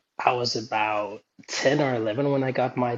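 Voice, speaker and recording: A man with a Danish accent, medium pitch and fairly even intonation. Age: 30s. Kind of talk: podcast interview.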